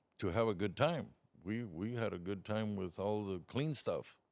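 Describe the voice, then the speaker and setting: In a very clean recording with a silent background, a man speaks at a moderate pace. He has a normal speaking voice, fairly low in pitch, with ordinary pitch variation. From Othello, Washington, US (born in Mexico). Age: 60s. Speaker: trucking business owner. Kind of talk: interview.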